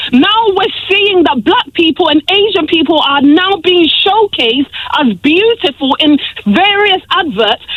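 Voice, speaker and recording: With an angry tone, a woman speaks at an extremely high pitch in very wide swings, her loudness very even over noticeable background noise. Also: fairly slow pace. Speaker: radio caller. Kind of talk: radio phone-in call. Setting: phone line. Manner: angry, impassioned.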